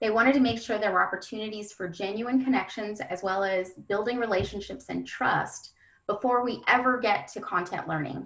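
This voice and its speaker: Hardly pausing, a woman with an ordinary speaking voice talks at a fairly quick pace, medium in pitch with ordinary pitch variation. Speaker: education webinar presenter. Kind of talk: webinar presentation. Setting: webinar.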